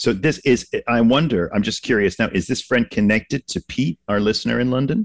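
A plain, everyday voice from a man with an American accent, medium pitch, fairly quick with hardly any pauses, ordinary pitch variation, and a dry, close sound with no echo. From Massachusetts. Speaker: immigration attorney, podcast co-host. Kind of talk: casual chat.

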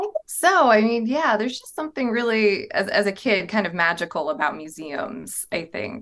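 Speaking with an American accent and vocal fry, a woman uses a fairly high pitch with very wide pitch swings at a moderate pace. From US South, southern Virginia (Appalachia). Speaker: museum curator. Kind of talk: interview.

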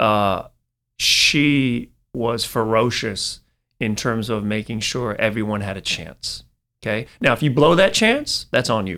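A man's medium-pitched, bright, sharp voice with an American accent at a fairly slow pace, with ordinary pitch variation, on a very clean recording with a silent background. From Northern California, East Bay. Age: 40s. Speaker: marketing executive. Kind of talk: casual interview.

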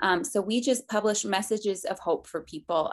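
With an American accent, a woman speaks in a normal speaking voice at a medium pitch and moderate pace, with ordinary pitch variation. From Colorado. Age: 20s. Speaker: book publicist. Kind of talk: interview.

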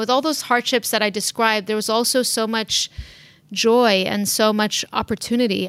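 An unremarkable speaking voice from a woman with an American accent, fairly high in pitch, at a moderate pace with fairly even intonation. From San Diego, California, then Lebanon from about age ten. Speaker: surgeon and tech company founder. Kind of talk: interview.

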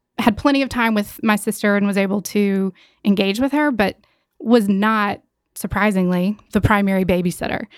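In a plain, everyday voice, a woman with an American accent speaks at a medium pitch and a moderate pace with ordinary pitch variation, the sound dry and close with no echo on a very clean recording with a silent background. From North Carolina, Gastonia. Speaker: college counselor. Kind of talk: interview. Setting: studio.

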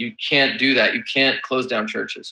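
A man talks in an ordinary speaking voice. His pitch is medium, and his pace is moderate. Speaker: priest and theologian. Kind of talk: interview discussion. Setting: remote video call from Rome.

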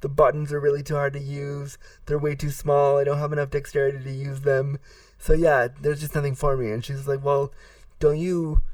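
In a monotone, flat delivery, a man with a fairly high, somewhat breathy voice speaks. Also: fairly quick pace. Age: 30s. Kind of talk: interview.

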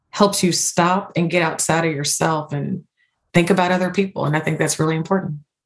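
Somewhat breathy and fairly low in pitch, a woman talks at a fairly quick pace with fairly even intonation. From Louisville, Kentucky. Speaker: corporate diversity and inclusion leader. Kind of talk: interview.

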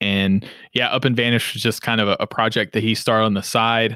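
A man's medium-pitched voice with a slight Southern accent and fairly even intonation, dry and close with no echo, on a very clean recording with a silent background. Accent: slight southern drawl. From Western Kentucky (Henderson). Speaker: podcast production company founder and CEO. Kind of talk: casual interview.

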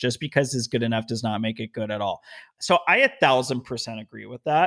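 A man speaks at a fairly quick pace with a medium pitch and a bright, sharp tone, in a very clean recording with a silent background. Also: dry, close sound with no echo. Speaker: podcast host. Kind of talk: casual interview chat.

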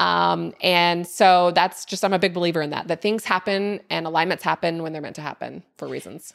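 A woman with a plain, everyday voice speaks fairly quickly at a fairly low pitch and fairly even intonation, on a very clean recording with a silent background. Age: 30s. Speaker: entrepreneur. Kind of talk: casual chat.

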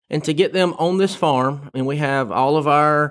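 A man in a Southern US accent. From Tifton, south Georgia, US. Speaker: research farm manager. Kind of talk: interview.

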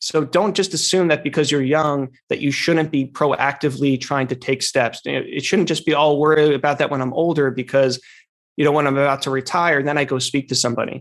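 In an American accent, a man with an ordinary speaking voice talks fairly quickly at a fairly high pitch with fairly even intonation against a quiet background. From northern New Jersey. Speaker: financial planner and podcast host. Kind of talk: interview conversation.

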